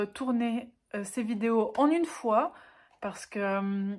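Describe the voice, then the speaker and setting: A woman speaks with a Swiss accent. Her pitch is fairly high, with ordinary variation. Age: 20s. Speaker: book YouTuber. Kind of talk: casual talk to camera.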